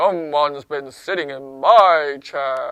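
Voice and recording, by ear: At a fairly slow pace, a put-on character voice speaks in a low-to-middle pitch.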